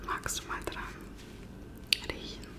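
A soft-spoken woman, whispering. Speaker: ASMR creator. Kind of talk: soft-spoken ASMR role-play chat. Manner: soft intimate whisper. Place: home room. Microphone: phone near.

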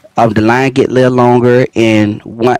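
Medium-pitched male speech at a moderate pace over noticeable background noise. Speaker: gaming video creator. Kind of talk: gameplay tutorial. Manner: casual, conversational.

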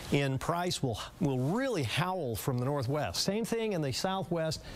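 A man speaks with lively intonation. Light background noise sits underneath. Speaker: broadcast meteorologist. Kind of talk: TV weather forecast broadcast. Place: studio. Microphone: lapel.

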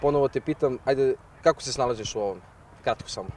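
Speech races at a very fast pace over light background noise, the sound dry with no echo. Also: man. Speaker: host of a football challenge video. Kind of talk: casual host chat and commentary. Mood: playful, joking. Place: open country. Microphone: handheld.

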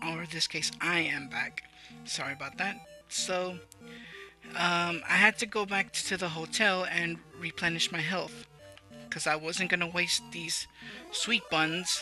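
The speech goes at a fairly slow pace with long, frequent pauses. Music sits in the background. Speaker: let's play gamer. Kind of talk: gameplay commentary. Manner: stuttering.

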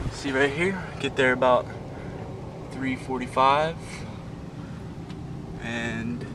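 There is noticeable background noise behind a man whose pitch varies in an ordinary way. The sound is dry, with no echo. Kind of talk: casual vlog chat. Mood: relaxed, then recounting scare. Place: boat. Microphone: phone near.

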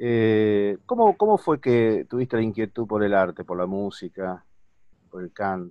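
Against a quiet background, a man uses a normal speaking voice at a fairly low pitch and fairly slow pace, his intonation fairly even but his loudness swinging widely. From Argentina. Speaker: interviewer. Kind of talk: interview. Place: home room. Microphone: video call.

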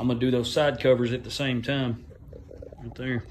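A man speaks in a somewhat breathy voice. There is light background noise. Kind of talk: casual how-to narration. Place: garage. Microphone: phone near.

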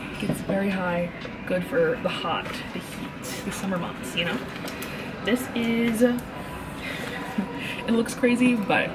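A woman speaks at a very slow pace. Loud background noise surrounds her voice. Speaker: travel vlogger. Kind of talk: casual vlog chat. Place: station. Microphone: phone near.

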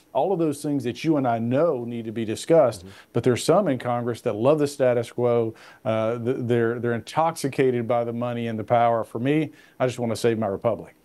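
With a Tennessee accent and a dark, mellow tone, a man talks at a fairly quick pace with ordinary pitch variation. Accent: Southern US, Tennessee. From Middle Tennessee. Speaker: congressman; guest. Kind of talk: interview.

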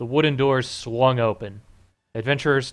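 With little sound behind it, the unforced reading voice keeps its intonation fairly even.

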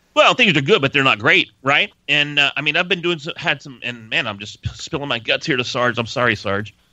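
With an unremarkable speaking voice, a man talks fairly quickly at a fairly high pitch, his intonation lively and his loudness swinging widely, in a dry recording with no echo and a quiet background. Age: 40s. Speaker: voice-over artist and podcast host; guest host. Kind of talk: casual podcast chat. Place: studio.

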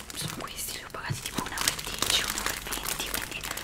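A woman whispers at a fairly quick pace in a relaxed tone. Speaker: ASMR content creator; ASMR creator. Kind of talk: whispered ASMR talk to camera. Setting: close microphone, home recording. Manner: whispered, soft, relaxed. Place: home room. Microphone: studio mic.

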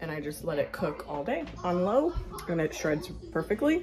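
Clear music plays in the background. The speaker keeps a fairly slow pace. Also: woman. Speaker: mother vlogger. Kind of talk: casual vlog chat. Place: kitchen. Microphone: phone near.

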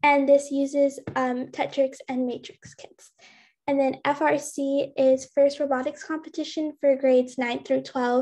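The tone is dark and mellow, with monotone, flat intonation. The pace is fairly slow over a quiet background. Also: woman. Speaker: student presenter; presenter. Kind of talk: presentation. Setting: video call. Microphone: webcam.

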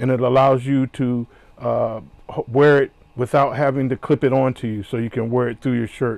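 At a moderate pace, a man speaks in a monotone, flat intonation, the sound dry with no echo. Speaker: product reviewer. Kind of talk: unboxing tutorial.

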